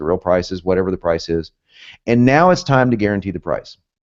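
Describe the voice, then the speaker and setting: A man's very fast, animated speech in an American accent, fairly low in pitch with ordinary pitch variation, over a quiet background. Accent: southern US, occasionally northern. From US, both South and North. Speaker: copywriting instructor. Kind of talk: webinar lecture.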